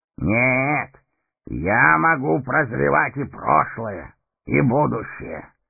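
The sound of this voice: A man performs a put-on character voice at a medium pitch with vocal fry and a slightly husky edge. He speaks at a slow pace with lively intonation.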